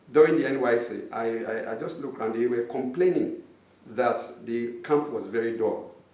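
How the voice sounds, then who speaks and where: Noticeable background noise plus audible room echo. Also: man. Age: 50s. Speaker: artist. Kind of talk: interview.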